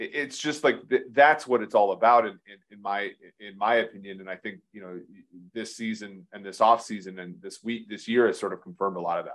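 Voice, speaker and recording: An unremarkable speaking voice moves at a fairly quick pace with ordinary pitch variation. Its loudness swings a lot. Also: man, fairly low pitch for a man. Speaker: podcast host. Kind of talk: casual chat.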